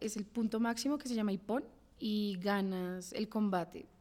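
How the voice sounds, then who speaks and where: The speech moves at a moderate pace with fairly even intonation. Noticeable background noise runs underneath. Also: woman. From Bogotá, Colombia. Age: 20s. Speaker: judo athlete. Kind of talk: interview.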